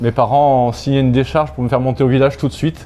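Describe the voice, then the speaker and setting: There is noticeable background noise. Through it, a man speaks with fairly even intonation. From Corsica, then Aix-en-Provence from childhood. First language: Corsican (speaking French). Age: 60s. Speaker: sports club president. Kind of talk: casual interview.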